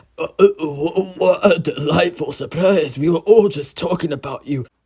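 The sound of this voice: Shaky, high-pitched put-on character voice from a man at a moderate pace.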